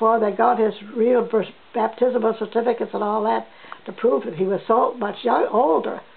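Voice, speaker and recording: With a New Brunswick accent, a woman speaks at a moderate pace in a fairly high pitch, with noticeable background noise behind her. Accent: Atlantic Canadian (New Brunswick). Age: 80s+. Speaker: elderly interviewee sharing family history. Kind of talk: oral history interview. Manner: halting, with frequent restarts.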